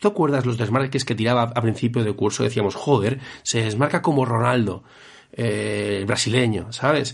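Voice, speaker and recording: Here a man speaks at a moderate pace with a medium pitch. His voice is somewhat breathy. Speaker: football podcast host. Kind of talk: casual chat.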